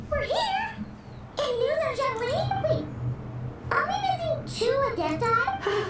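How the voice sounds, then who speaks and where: This is a squeaky, put-on character voice at an extremely high pitch, delivered at a fairly slow pace with long, frequent pauses. Noticeable background noise runs underneath. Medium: video game.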